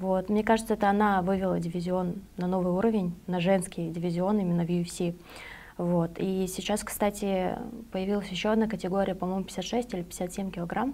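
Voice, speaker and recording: With monotone, flat intonation, a woman speaks at a moderate pace in a medium pitch and a dark, mellow tone. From Moldova. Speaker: MMA fighter. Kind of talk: interview.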